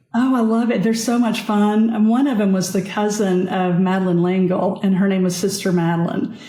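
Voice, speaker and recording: A woman with a Southern US accent talks at a fairly quick pace with hardly any pauses, very even loudness and fairly even intonation, with audible echo from the room. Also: medium pitch for a woman. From US South. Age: 60s. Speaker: author and nurse, trauma survivor. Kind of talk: interview conversation.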